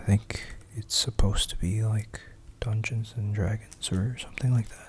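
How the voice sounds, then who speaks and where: Whispering at a moderate pace, a soft-spoken man keeps a calm tone while his loudness swings widely. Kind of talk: casual talk to camera. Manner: soft-spoken, whispered, calm.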